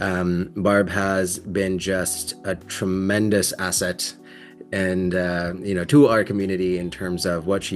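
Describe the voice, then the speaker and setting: A man's very deep, low pitch at a fairly slow pace, fairly even intonation, and music in the background. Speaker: sobriety program host. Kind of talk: interview host, casual conversation.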